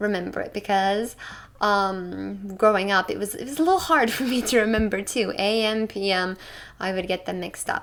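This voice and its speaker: Speaking at a moderate pace, a woman has an ordinary speaking voice with medium pitch and ordinary pitch variation. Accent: American. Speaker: English teacher. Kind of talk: online English lesson.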